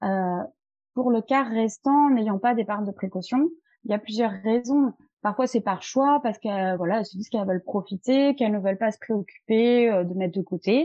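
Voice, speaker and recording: A woman talks at a moderate pace in an unremarkable speaking voice. Her pitch is fairly high, with ordinary variation. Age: 30s. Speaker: wealth management advisor. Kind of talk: interview.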